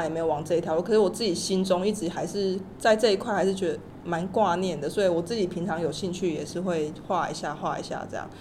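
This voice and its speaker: Audible room echo and noticeable background noise surround a woman speaking at a very fast pace with ordinary pitch variation. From Taiwan. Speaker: illustrator. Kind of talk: interview.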